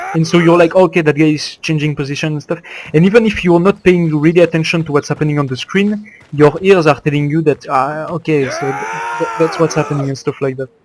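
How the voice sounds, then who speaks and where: A man with a Belgian French accent speaks at a very fast pace in a fairly high pitch. His intonation is fairly even, and there is noticeable background noise. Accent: French-speaking Belgian. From Belgium. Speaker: competitive gamer. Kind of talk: gameplay commentary. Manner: casual, hesitant.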